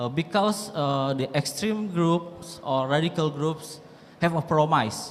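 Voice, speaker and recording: A man talks at a very slow pace with a fairly high pitch. His pitch variation is ordinary, and audible room echo is present. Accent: Indonesian. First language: Indonesian. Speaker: lecturer asking a question. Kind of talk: audience question at lecture. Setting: university lecture hall. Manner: halting, many fillers.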